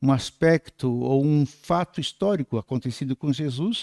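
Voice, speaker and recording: A man speaks at a fairly high pitch with ordinary pitch variation and a dark, mellow tone, captured in a very clean recording with a silent background and a dry, close sound with no echo. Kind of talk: lecture. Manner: soft-spoken.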